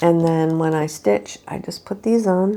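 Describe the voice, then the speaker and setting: A woman with a normal speaking voice and fairly low pitch talks at a moderate pace. Her intonation is lively. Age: 60s. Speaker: cross stitch video host. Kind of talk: casual show-and-tell vlog. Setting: home living room. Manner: casual, with fillers and restarts.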